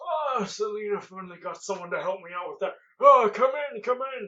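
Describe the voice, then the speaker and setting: Putting on a character voice, a man speaks high for a man in a raised, projected voice at a moderate pace, his loudness swinging widely. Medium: actual play. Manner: paranoid, erratic.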